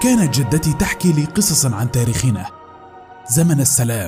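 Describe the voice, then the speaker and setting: Lively intonation at a moderate pace comes through as music plays in the background. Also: man. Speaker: voice-over artist. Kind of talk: cartoon intro narration dub. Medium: dub.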